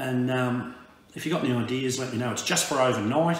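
With audible room echo, a man speaks at a very fast pace with ordinary pitch variation. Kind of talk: casual vlog chat. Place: home room. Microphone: camera far.

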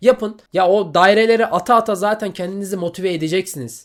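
The recording is very clean against a silent background. On it, a man speaks at a fairly quick pace. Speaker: exam coaching YouTuber, university student. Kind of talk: motivational advice monologue to camera. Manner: animated, scolding at times.

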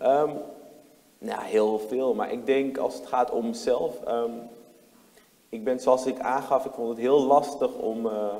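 A man talks at a very slow pace with long, frequent pauses. His intonation is fairly even. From Netherlands, Amsterdam Zuidoost; Netherlands. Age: 20s. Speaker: lawyer and city councillor; lawyer, city councillor. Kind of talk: talk show interview. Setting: talk show with audience. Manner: hesitant, many fillers and restarts. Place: hall.

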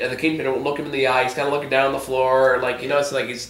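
A man talks at a very fast pace with a medium pitch and little pitch movement. His tone is fairly bright, and the room echo is strong.

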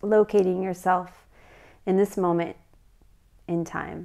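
Soft-spoken and calm, a woman talks very slowly at a medium pitch with monotone, flat intonation against a quiet background. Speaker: meditation guide. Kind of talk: guided meditation. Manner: calm, soft-spoken, slow. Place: home room.

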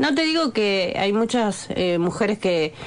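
Her voice is a normal speaking voice at medium pitch. The woman speaks at a fairly slow pace. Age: 40s. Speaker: bricklayer. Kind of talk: radio interview. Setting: radio studio.

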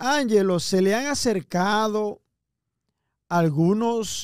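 Very slowly and with ordinary pitch variation, a man speaks in a very clean recording with a silent background and a dry, close sound with no echo. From Dominican Republic, Cibao region. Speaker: online show host. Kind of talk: interview. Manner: heated.

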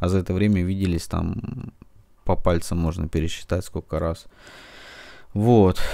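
With a very deep, low pitch and a dark, mellow tone, a man speaks fairly slowly. His intonation stays fairly even, broken by long, frequent pauses. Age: 40s. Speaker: book blogger. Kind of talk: casual book review monologue. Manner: halting, many filler words.

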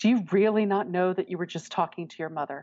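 In an ordinary speaking voice, a woman with an American accent talks at a fairly low pitch with fairly even intonation. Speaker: adoptee sharing her story. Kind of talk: personal interview.

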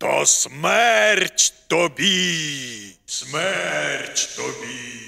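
A raspy, cartoonish character voice from a man, pitched fairly high. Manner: haughty, then enraged shouting.

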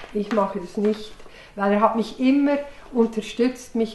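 Light background noise and audible room echo surround a woman as she speaks. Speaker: early member of a psychology training group; interviewee. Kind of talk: documentary interview.

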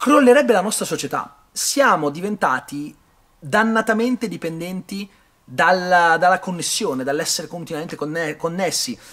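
Against a quiet background, a man talks at a fairly slow pace, his high pitch moving with lively intonation. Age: 30s. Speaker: film reviewer. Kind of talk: video review monologue. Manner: hesitant, with many fillers. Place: hall. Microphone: phone near.

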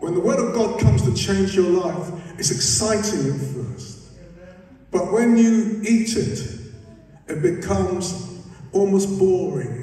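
Very slow speech with lively intonation rings out in strong room echo. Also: man. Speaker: preacher. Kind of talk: sermon. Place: church.

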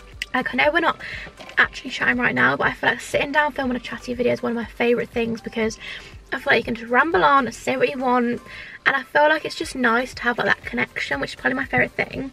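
Talking at a very fast pace, a woman is heard with a dry sound and no echo, with faint music in the background. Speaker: vlogger. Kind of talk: casual vlog chat. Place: car.

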